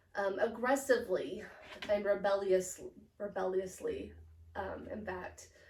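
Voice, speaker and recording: A woman speaks at a fairly slow pace with fairly even intonation and long, frequent pauses, and the room gives audible echo. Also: medium pitch for a woman. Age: 30s. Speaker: psychology student. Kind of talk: academic presentation. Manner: halting, many fillers.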